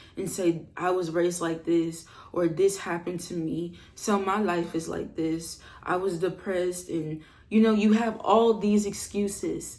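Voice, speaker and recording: At a fairly slow pace, a woman speaks with a medium pitch. Her intonation is fairly even, and audible room echo surrounds her voice. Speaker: self-improvement vlogger. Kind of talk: motivational talk. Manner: calm, relaxed; casual, slangy.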